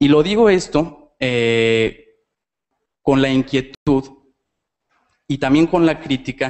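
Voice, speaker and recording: Speaking in a Mexican accent, the voice goes very slowly with long, frequent pauses and ordinary pitch variation. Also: man, fairly high pitch for a man. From Mexico. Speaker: audience member. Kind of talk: audience question. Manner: halting, many repetitions.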